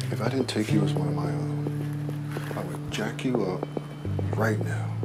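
Through loud background noise, a man talks at a fairly slow pace. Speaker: actor. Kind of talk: film/TV drama scene. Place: garage.

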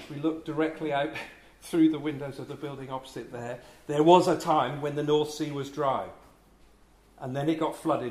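With audible room echo, a man speaks at a moderate pace in a slightly mellow tone, his fairly high pitch showing ordinary variation.

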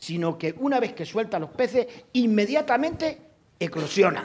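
The pace is fairly slow. Pitch swings are very wide. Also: man. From Extremadura, Spain. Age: 60s. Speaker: audience member. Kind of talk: audience comment. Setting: lecture hall with audience. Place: hall.

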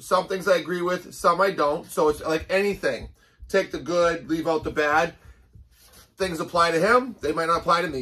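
A man's bright, sharp voice at a moderate pace. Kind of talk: casual vlog chat. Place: gym. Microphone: camera far.

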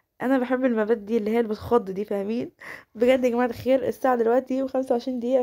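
With a dark, mellow tone and a high pitch, a woman talks at a fairly quick pace on a very clean recording with a silent background. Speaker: gaming YouTuber. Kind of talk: gameplay commentary. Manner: animated.

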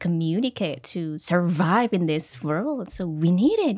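The voice carries lively intonation over a quiet background. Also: woman. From Central Java, Wonogiri; Central Java. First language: Javanese / Indonesian (speaking Indonesian). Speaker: English teacher. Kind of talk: casual interview. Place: studio. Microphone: studio mic.

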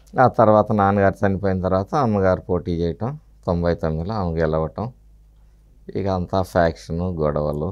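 Against a quiet background, a man talks in a very deep, low pitch. His pitch varies in an ordinary way. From Palnadu region, Andhra Pradesh; Andhra Pradesh. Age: 50s. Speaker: opposition politician; politician interviewee. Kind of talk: interview. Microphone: lapel.

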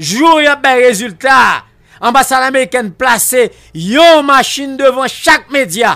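In a raised, projected voice with a bright, sharp tone, the speaker goes at a very slow pace with very even loudness and ordinary pitch variation over a quiet background. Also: man, extremely high pitch for a man. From Haiti. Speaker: political commentator; guest. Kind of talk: radio talk show interview. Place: studio. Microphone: studio mic.

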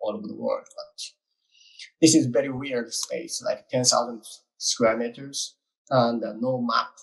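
The background is quiet. A man talks at a fairly slow pace. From Japan. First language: Japanese. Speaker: art collective communications director. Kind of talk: panel presentation. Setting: video call. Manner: halting. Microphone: video call.

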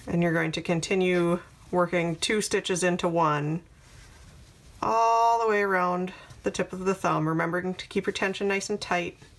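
A woman's fairly even intonation, moderate in pace. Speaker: crochet tutorial creator. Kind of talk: tutorial.

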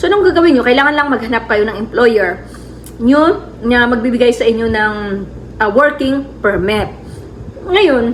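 A woman with a fairly high pitch speaks at a moderate pace and with lively intonation over noticeable background noise. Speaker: travel vlogger. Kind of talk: casual vlog talk.

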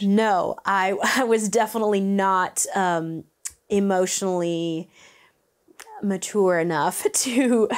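This is a plain, everyday voice with ordinary pitch variation. The background is quiet. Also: woman. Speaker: vocal coach. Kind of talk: interview answer. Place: studio. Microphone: lapel.

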